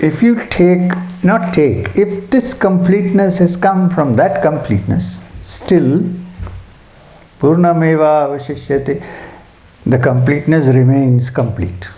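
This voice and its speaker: Soft-spoken and fairly high for a man, his voice moves in very wide pitch swings at a fairly slow pace, with long, frequent pauses, audible room echo and noticeable background noise. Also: very even loudness. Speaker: spiritual teacher. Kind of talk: spiritual talk at a retreat.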